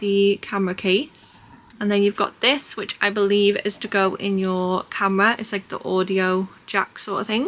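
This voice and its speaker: Speaking at a medium pitch and a fairly slow pace, a soft-spoken woman talks with a British accent. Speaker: small business owner and vlogger. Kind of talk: product review vlog. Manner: casual.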